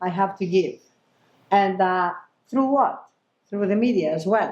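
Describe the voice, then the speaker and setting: A woman with a Greek accent talks at a medium pitch with lively intonation. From Greece. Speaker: chef and TV presenter. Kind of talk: panel discussion. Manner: animated.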